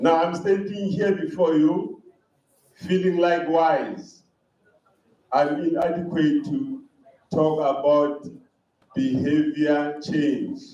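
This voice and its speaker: With a high pitch and lively intonation, a man talks at a very slow pace, leaving long, frequent pauses, in a space with audible room echo. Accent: non-native. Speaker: conference speaker. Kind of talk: conference talk. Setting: hall with live audience.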